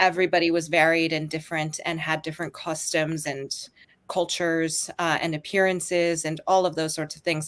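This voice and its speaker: A woman's voice, fairly low in pitch, holds a monotone, flat intonation while moving at a moderate pace. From international, grew up abroad (Turkey, Eastern Europe, Latin America). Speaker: author. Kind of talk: panel discussion.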